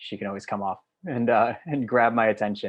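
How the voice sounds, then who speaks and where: Speaking at a fairly quick pace in an American accent, a man talks over a quiet background. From US Northeast. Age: 20s. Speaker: digital organizer and trainer; trainer. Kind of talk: online training presentation. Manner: fast. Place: home room. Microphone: webcam.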